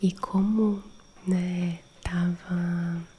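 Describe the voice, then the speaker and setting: A calm, soft-spoken woman whispers over noticeable background noise. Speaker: ASMR creator and holistic therapist. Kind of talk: ASMR friendly chat for sleep. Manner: soft-spoken, whispery, calm.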